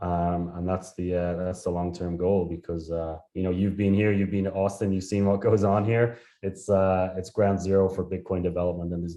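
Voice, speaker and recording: In a strong Irish accent, a man with a dark, mellow tone talks at a fairly quick pace and a very deep, low pitch, monotone and flat, with hardly any pauses against a quiet background. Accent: thick Irish. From Ireland. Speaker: startup founder and CEO. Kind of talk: interview.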